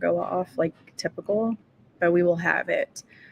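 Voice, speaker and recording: A quiet woman speaks at a moderate pace, the sound dry and close with no echo despite noticeable background noise. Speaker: writing livestreamer. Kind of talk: casual livestream chat. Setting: room with other people, livestream. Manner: quiet, hushed.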